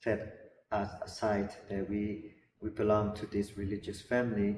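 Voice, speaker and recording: A fairly low-pitched man speaking at a fairly slow pace in a flat, monotone delivery. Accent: slight Burmese. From Burma. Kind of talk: interview. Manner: halting, many repeated words.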